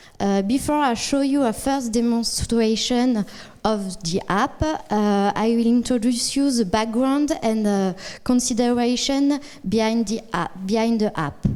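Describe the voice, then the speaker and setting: This woman has a French accent and a fairly high pitch. She speaks at a fairly slow pace with very even loudness. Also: ordinary pitch variation. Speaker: data science consultant. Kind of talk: conference talk. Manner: halting.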